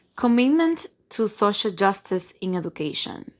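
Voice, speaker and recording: With a non-native accent, a woman talks fairly slowly at a fairly high pitch, her voice making very wide pitch swings on a very clean recording with a silent background. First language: non-native English speaker. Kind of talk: reading from a textbook.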